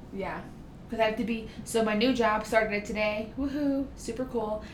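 A woman's fairly high-pitched voice at a fairly quick pace, with fairly even intonation and noticeable background noise. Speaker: nurse and personal trainer. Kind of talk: casual chat. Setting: studio. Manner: loud.

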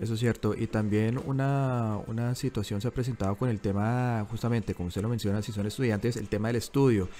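A man's dark, mellow voice at a fairly quick pace, hardly pausing, with fairly even intonation. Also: medium pitch for a man. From Colombia, Bogotá. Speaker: journalist and podcast co-host. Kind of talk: casual news discussion. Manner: halting, with frequent repetitions.

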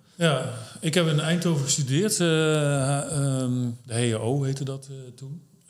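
Audible room echo surrounds a man speaking at a very slow pace. His pitch is fairly high with ordinary variation. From Netherlands, Brabant. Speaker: startup founder. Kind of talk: interview.

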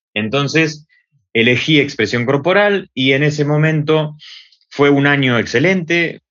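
Lively intonation with an Argentine accent. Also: man. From Argentina, Buenos Aires. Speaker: theatre and body expression teacher. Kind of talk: interview. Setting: video call.

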